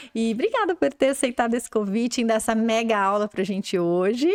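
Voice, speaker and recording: A woman's fairly high-pitched, plain, everyday voice at a fairly quick pace, in a dry, close sound with no echo. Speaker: podcast host, English school owner. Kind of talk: interview.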